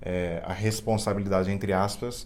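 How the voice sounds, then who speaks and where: With a São Paulo accent, a man with a fairly low voice speaks in a monotone, flat intonation amid audible room echo. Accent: Campinas. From Brazil, Campinas. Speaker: co-host, husband. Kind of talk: casual chat to camera. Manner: halting.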